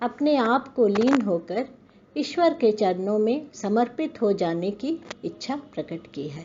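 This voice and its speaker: This woman's pitch swings very widely as she talks. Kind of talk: spoken introduction to a poem.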